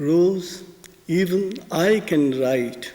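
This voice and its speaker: A man speaks in a high voice with a Bengali accent. His pitch varies in an ordinary way. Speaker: spiritual teacher and poet reciting his own poems. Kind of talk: spoken talk on the meaning of poetry. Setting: live performance in a concert hall.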